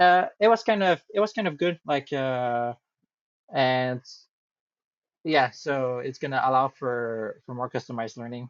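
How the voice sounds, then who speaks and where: A man with a medium-pitched voice speaks with long, frequent pauses. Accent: strong French. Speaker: AI company project support. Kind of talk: casual chat. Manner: halting.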